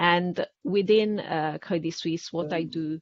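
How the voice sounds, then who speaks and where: With an Italian accent, a woman speaks very slowly at a fairly low pitch, her intonation fairly even. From Italy. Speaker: public policy specialist at a bank. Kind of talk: webinar panel discussion. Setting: webinar.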